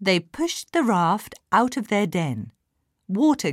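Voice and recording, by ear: The background is quiet while the speaker reads aloud in a natural voice.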